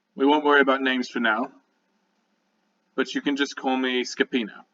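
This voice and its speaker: A raspy, growling, rumbling put-on character voice at a fairly quick pace. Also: man, medium pitch for a man. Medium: actual play. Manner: curt, gruff.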